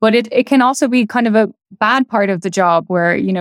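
In a Dublin accent, a woman talks at a fairly quick pace with ordinary pitch variation. The sound is dry and close, without echo. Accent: Irish (Dublin). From Ireland, Dublin. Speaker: astrophysicist. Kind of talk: interview. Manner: casual, laughing.

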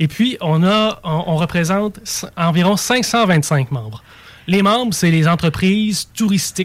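Speaking at a very slow pace with a Quebec accent, a man uses a high pitch, lively intonation and very even loudness. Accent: Québécois French. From Mauricie, Quebec. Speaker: tourism marketing advisor. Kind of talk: casual chat.

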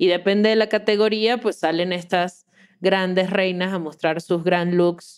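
Her voice is an unremarkable speaking voice, a woman at medium pitch talking at a fairly slow pace with fairly even intonation. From Venezuela, Caracas. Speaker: podcast host and producer. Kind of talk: casual chat.

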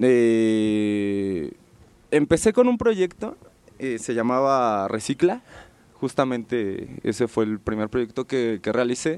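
A man talks very slowly at a medium pitch, with ordinary pitch variation. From Mexico City. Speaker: graffiti artist and illustrator. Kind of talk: casual interview. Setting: radio studio booth.

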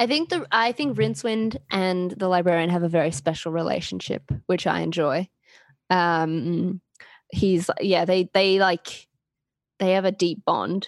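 In an Australian accent, a woman of medium pitch speaks at a fairly slow pace with ordinary pitch variation and very even loudness, recorded very cleanly with a silent background and a dry, close sound with no echo. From Queensland, Australia. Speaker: podcast guest. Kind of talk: casual chat.

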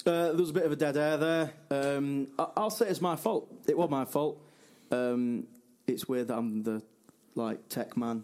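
A man with a normal speaking voice talks at a fairly slow pace, his fairly high pitch carried by lively intonation. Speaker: podcast co-host. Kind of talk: casual chat about football.

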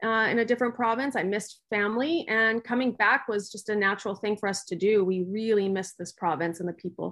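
A woman with a Canadian accent talks fairly quickly, with hardly any pauses, in a plain, everyday voice. Her pitch is medium, with ordinary variation. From Winnipeg, Canada. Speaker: business owner. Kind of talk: interview.

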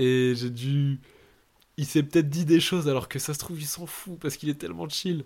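An unremarkable speaking voice from a man, fairly high in pitch, with ordinary pitch variation, big swings in loudness and a moderate pace. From northern France, Lille. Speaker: podcast host. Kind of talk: casual chat. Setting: remote recording.

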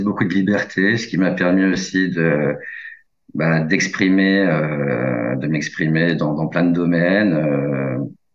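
A man talks at a very slow pace. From rural France. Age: 40s. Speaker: journalist and crime novelist. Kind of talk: interview. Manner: halting, many fillers.

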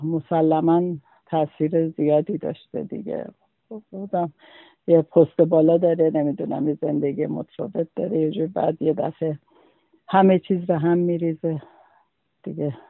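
Speaking at a moderate pace with fairly even intonation, a man with a fairly high pitch leaves long, frequent pauses. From Khuzestan, Iran (Ahvaz). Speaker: witness recounting the 1979 referendum. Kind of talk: personal testimony interview.

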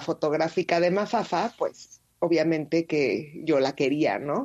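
A woman's voice at a very slow pace, with ordinary pitch variation. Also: quiet background. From Mexico City. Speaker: street photographer. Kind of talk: interview.

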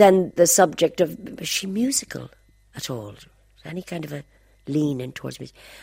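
In a Dublin accent, a woman speaks at a moderate pace with a very deep, low pitch and a dark, mellow tone, leaving long, frequent pauses. Her loudness swings widely on a very clean recording with a silent background. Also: lively intonation. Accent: Dublin Irish. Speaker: singer. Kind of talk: reminiscing interview.

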